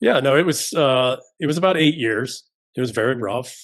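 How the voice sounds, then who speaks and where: At a moderate pace, a man talks in a normal speaking voice at a medium pitch with ordinary pitch variation. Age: 50s. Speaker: former special forces soldier, podcast guest. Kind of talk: interview.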